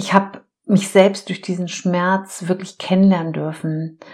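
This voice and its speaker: This woman has an ordinary speaking voice at medium pitch, talking at a fairly slow pace with fairly even intonation. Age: 50s. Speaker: life coach and podcast host. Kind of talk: solo podcast monologue. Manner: warm, heartfelt.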